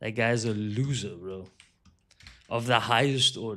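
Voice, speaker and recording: A man's animated voice at a medium pitch. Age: 30s. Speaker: video game streamer. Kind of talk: live game stream chat.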